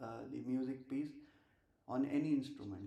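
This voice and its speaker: In an Indian accent, a man speaks at a moderate pace with fairly even intonation amid audible room echo. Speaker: streamer and amateur musician. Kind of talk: casual live stream chat. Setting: live stream at home. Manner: halting, many filler uhs.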